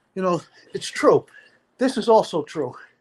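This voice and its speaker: With a Brooklyn accent, a man speaks at a high pitch through very wide pitch swings. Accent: New York (Brooklyn). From Brooklyn, New York (Sheepshead Bay). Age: 60s. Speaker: livestream panelist. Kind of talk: casual chat.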